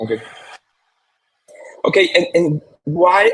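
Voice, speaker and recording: At a fairly slow pace, a man talks in a somewhat breathy voice. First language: Spanish. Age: 40s. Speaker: marketer and speaker. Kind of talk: presentation. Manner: halting with fillers and repetitions.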